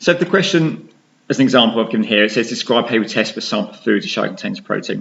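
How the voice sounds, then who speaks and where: Talking very fast with an English accent, a man at a medium pitch shows very wide pitch swings and vocal fry. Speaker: science teacher. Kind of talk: tutorial.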